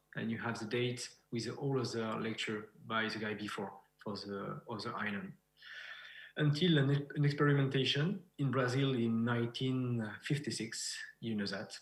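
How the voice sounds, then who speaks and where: A man with a French accent, somewhat breathy and medium-pitched, with ordinary pitch variation at a moderate pace, in audible room echo. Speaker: beekeeper and researcher. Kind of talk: conference presentation. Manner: halting.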